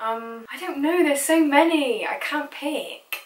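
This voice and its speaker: A woman with a strong Bristol accent amid noticeable background noise. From Bristol, England. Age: young. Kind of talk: casual talk to camera.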